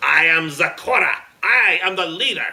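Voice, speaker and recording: This is a put-on character voice. Its pitch sits in the middle range. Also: moderate pace. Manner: roaring, stern.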